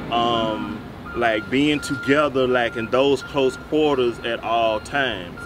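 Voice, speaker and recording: Noticeable noise fills the background. Over it, a man talks. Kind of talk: interview answer. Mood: warm, relaxed. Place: street.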